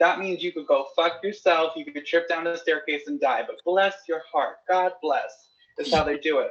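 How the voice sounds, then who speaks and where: High pitch from a man, moderate pace, ordinary pitch variation. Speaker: stand-up comedian. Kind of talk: stand-up. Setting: video call show with live online audience.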